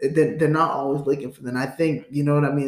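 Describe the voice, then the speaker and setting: A man with a fairly high pitch, fairly even intonation and a plain, everyday voice. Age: 20s. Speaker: podcast host. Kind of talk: casual chat.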